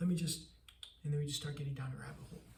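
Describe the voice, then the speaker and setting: A man with a fairly high pitch speaks in a monotone, flat intonation amid audible room echo. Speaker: entrepreneur vlogger. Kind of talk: casual vlog monologue. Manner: fast, stuttering at times.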